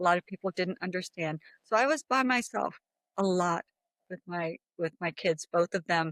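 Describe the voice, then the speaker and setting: An ordinary speaking voice, a woman with a fairly low pitch and ordinary pitch variation at a moderate pace, dry and close with no echo. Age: 60s. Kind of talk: interview testimony.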